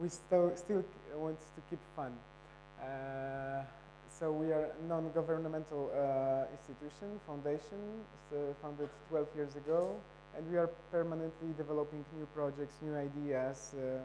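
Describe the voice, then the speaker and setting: In a Polish accent, a man speaks at a fairly slow pace and fairly high pitch with fairly even intonation, with audible room echo around him. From Poland. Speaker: photo festival director. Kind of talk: conference presentation. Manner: halting.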